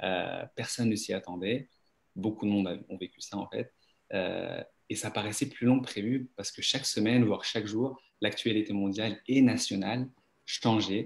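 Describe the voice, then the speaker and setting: A man at a moderate pace, fairly low-pitched, with ordinary pitch variation on a very clean recording against a silent background. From France. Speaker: dentist. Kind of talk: interview on live stream. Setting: Facebook live.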